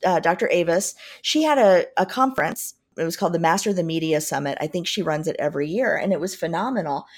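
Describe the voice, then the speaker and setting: A woman with an American accent talks at a very fast pace, her pitch swinging very widely. The recording is very clean, with a silent background. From US Midwest, Southern Indiana. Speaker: business leadership coach and author. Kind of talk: interview.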